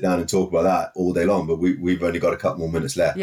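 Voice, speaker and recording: A man with a strong Welsh accent, on a very clean recording with a silent background. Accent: heavy Welsh. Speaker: podcast guest. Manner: energetic, motivational.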